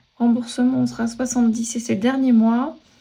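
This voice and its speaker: Her voice has a dark, mellow tone and a fairly high pitch, delivered with monotone, flat intonation. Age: 40s. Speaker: personal finance vlogger. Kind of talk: casual budgeting tutorial. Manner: hesitant, many fillers.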